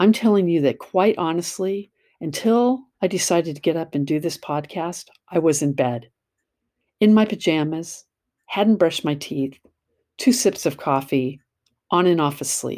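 Lively intonation in a dark, mellow tone at a moderate pace, broken by long, frequent pauses. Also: woman, fairly low pitch for a woman. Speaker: podcast host, self-help blogger. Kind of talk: casual monologue. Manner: conversational.

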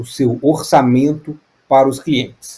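A man with a dark, mellow tone, somewhat breathy, at medium pitch and a very slow pace. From Brazil, Minas Gerais (Juiz de Fora). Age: 30s. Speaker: tech startup founder. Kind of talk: radio interview.

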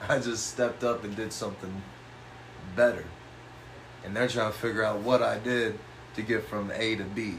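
Amid noticeable background noise, a man with a fairly low pitch speaks in a monotone, flat way at a moderate pace, taking long, frequent pauses. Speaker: graphic designer and cartoonist. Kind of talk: casual chat. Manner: casual, profane.

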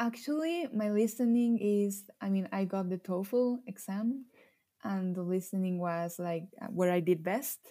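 A woman with a Mexican accent, dark and mellow in tone, at a fairly slow pace. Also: medium pitch for a woman, ordinary pitch variation. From Mexico. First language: Spanish. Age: 20s. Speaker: illustrator and language learner. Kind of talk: casual interview. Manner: laughs often, informal, many fillers.

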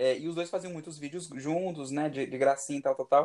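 At a fairly quick pace, a man with a fairly high pitch talks in a normal speaking voice with fairly even intonation. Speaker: podcast co-host. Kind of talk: casual chat.

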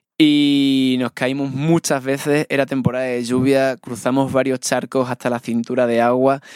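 Speaking at a fairly slow pace, a man keeps a flat monotone, recorded with a dry, close sound and no echo. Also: medium pitch for a man, hardly any pauses. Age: 30s. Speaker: traveler and documentary maker. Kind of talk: casual interview.

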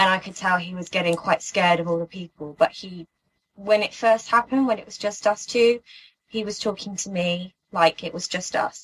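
Speaking with a British accent, a woman has a fairly low pitch and ordinary pitch variation at a moderate pace. The sound is dry and close with no echo. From UK. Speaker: interviewee. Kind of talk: testimony. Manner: halting.

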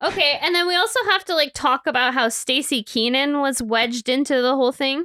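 Speaking in a raised, projected voice with a bright, sharp tone, a woman keeps a high pitch, ordinary pitch variation, very even loudness and a fairly quick pace with hardly any pauses. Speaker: podcast host. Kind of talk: casual chat, podcast review. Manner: casual, chatty.

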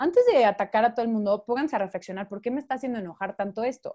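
A woman talks at a very fast pace in a fairly high pitch, her intonation lively. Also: quiet background. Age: 20s. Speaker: podcast guest. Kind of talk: casual chat.

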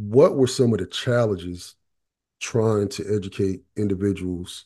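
In an eastern North Carolina accent, a man speaks at a fairly low pitch. His tone is dark and mellow, over a quiet background. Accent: US Southern, eastern North Carolina. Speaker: podcast host. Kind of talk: casual podcast interview.

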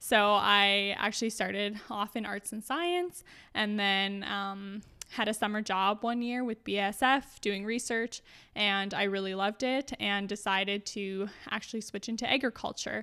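Her tone bright and sharp, a woman speaks at a medium pitch and moderate pace with fairly even intonation. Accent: Canadian Prairies. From rural Saskatchewan, Canada. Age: 20s. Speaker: junior interior designer. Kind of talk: casual interview.

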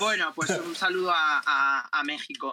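Lively intonation marks a raised, projected voice. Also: man. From Spain, Murcia (Jumilla). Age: 20s. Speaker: journalist and TikToker. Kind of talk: casual chat.

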